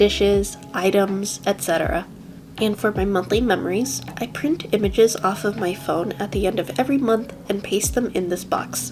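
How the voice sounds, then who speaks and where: Music runs in the background as a woman talks. Her pitch is medium and her pace fairly slow. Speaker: bullet journal creator. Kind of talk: craft tutorial voiceover.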